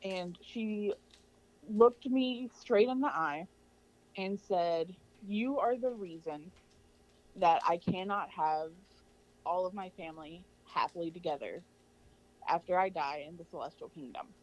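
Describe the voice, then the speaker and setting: In an American accent, a woman speaks fairly slowly at a medium pitch, with long, frequent pauses. Her intonation is lively and her loudness swings widely. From US South, Arkansas. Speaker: microbiologist. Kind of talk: interview testimony.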